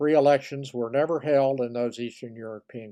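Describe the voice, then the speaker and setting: Over a quiet background, a man speaks at a fairly slow pace in a dark, mellow tone with monotone, flat intonation. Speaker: history commentator. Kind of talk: casual talk to camera. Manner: hesitant, with frequent fillers.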